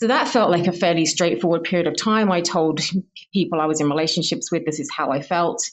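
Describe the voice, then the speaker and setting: A woman speaks with a southern English accent. Her fairly low voice moves at a very fast pace. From southern England, Hertfordshire. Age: 30s. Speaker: scientist, listener. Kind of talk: recorded personal testimony.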